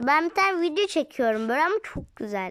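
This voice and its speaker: A woman's bright, sharp, animated voice moves at a moderate pace with very wide pitch swings. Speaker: gaming video creator. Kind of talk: gameplay commentary.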